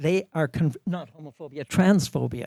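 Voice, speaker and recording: A man's dark, mellow voice at a moderate pace with ordinary pitch variation, dry and close with no echo, on a very clean recording with a silent background. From Saskatchewan, Canada. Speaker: community elder, panelist. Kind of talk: panel discussion. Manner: pitch goes up and down.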